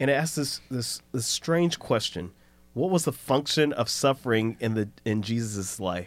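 A man with a plain, everyday voice speaks fairly slowly at medium pitch, his intonation lively. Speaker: podcast co-host and pastor. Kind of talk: casual Bible study discussion.

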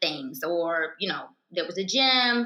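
A woman with an American accent at a moderate pace, with audible room echo. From US South, Alabama. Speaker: author and blogger. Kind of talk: casual chat.

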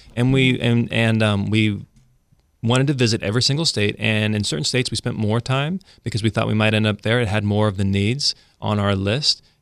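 In an ordinary speaking voice, a man with an American accent talks fairly quickly at a fairly low pitch, with ordinary pitch variation and very even loudness, on a very clean recording with a silent background. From Central California, small town. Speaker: real estate broker. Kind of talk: casual chat.

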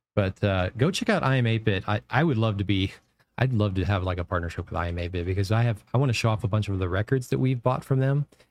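A man speaks at a very fast clip with a fairly low pitch and an animated tone. His pitch varies in an ordinary way, and the recording is very clean with a silent background. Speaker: podcast host. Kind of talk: casual chat.

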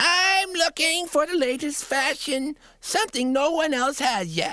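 A put-on character voice at a moderate pace, with ordinary pitch variation. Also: woman, high pitch for a woman. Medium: read story.

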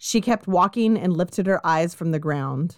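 A woman with a Californian accent, medium pitch and fairly quick pace, in a dry, close sound with no echo and a quiet background. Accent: Californian American. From Southern California. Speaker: true crime podcast host. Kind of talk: casual chat with narration of case.

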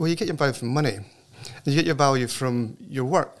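The speaker has a Scottish accent and moves along at a fairly quick pace. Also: man. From Scotland. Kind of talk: interview conversation. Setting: studio.

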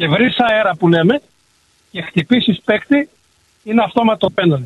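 A man with a high pitch and lively intonation at a fairly slow pace. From Greece. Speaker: radio caller, former goalkeeper. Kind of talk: phone-in call. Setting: phone call.

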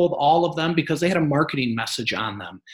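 A man with an American accent, somewhat breathy, at a very fast pace with ordinary pitch variation. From Michigan. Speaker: real estate investor. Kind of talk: interview. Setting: live stream. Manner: halting, many fillers.

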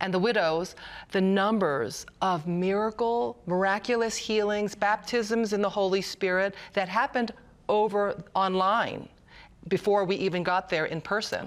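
A woman with a normal speaking voice, medium pitch, ordinary pitch variation and very even loudness at a fairly slow pace, in a very clean recording with a silent background. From US, Korean immigrant family. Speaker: Bible college graduate. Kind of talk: panel discussion.

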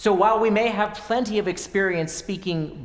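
A man speaks with audible room echo. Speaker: preacher. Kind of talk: sermon.

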